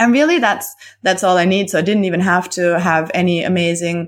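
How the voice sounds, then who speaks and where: In a very clean recording with a silent background, a woman speaks at a moderate pace. Her pitch is fairly low, with ordinary pitch variation. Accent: German. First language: German. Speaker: copywriter and business coach. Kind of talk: casual interview chat. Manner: animated, laughs often.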